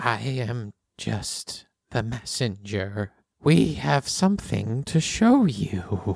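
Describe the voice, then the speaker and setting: Against a quiet background, a man in a put-on character voice speaks at medium pitch and a very slow pace with lively intonation. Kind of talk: eerie riddling speech. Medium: actual play. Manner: cryptic, halting, repeating himself.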